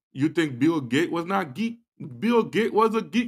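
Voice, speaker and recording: A man's voice moves at a moderate pace and swings very widely in pitch, with a quiet background behind it. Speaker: podcast host. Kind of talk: motivational talk show monologue.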